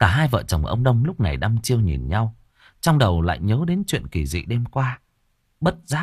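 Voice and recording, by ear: The background stays quiet. The voice is reading aloud in a natural voice.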